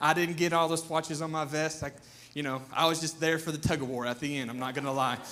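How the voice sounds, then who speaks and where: In a raised, projected voice with an animated, bright, sharp tone, a man with a Southern US accent speaks amid audible room echo. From US South. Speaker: pastor. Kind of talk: sermon. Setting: church.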